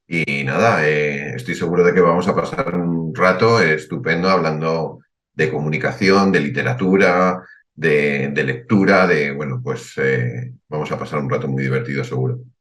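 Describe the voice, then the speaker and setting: With lively intonation, a man speaks at a fairly slow pace in a very deep, low pitch. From Spain. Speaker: writer and financial advisor. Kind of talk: podcast interview.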